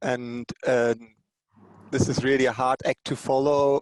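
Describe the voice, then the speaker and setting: The speaker has a German accent and keeps a moderate pace. The sound is dry and close, with no echo. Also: man. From Germany. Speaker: technology company energy lead. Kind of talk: panel presentation.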